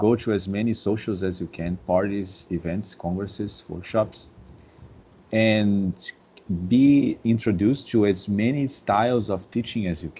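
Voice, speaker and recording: Speaking fairly slowly in a Brazilian Portuguese accent, a man has a fairly low pitch. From Brazil, Rio de Janeiro suburbs. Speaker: dance instructor. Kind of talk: podcast interview. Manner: halting, many repeated words.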